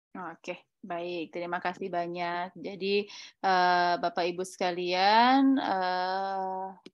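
A woman speaks at a very slow pace, the sound dry with no echo and the background quiet. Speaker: event moderator. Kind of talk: online webinar moderation. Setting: video call. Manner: animated. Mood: friendly, upbeat. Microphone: webcam.

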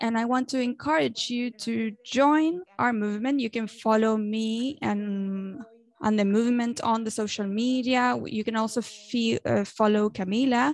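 A woman with a fairly high pitch and ordinary pitch variation, at a fairly slow pace, in a dry sound with no echo. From Venezuela. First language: Spanish. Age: young. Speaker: journalist and activist; journalist. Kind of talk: speech at an online event. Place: home room. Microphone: earbuds.

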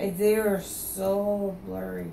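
Audible room echo and light background noise surround a woman as she talks. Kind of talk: drowsy casual talk. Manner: groggy, slurred post-anesthesia voice. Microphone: phone near.

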